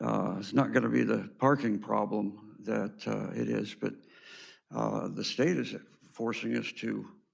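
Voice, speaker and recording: Audible room echo surrounds a man speaking at a fairly slow pace with an American accent. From Southern California. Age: 70s. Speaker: public commenter. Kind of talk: public comment at meeting. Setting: city hall podium. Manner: halting.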